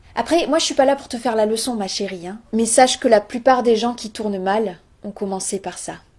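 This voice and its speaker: Talking at a fairly quick pace, a woman uses a normal speaking voice that sits fairly high, with ordinary pitch variation and big swings in loudness. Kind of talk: comedic storytelling chronicle on local radio. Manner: playful, mock-serious, storytelling.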